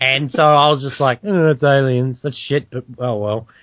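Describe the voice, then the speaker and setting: In an ordinary speaking voice, the man holds a medium pitch and a moderate pace. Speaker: podcast host. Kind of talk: casual banter.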